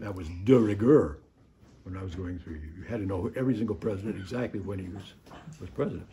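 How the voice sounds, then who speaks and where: A man's dark, mellow, somewhat breathy voice at a very fast pace, with ordinary pitch variation and audible room echo. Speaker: priest teaching adult Sunday school. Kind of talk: lecture. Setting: classroom in a church. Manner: quiet.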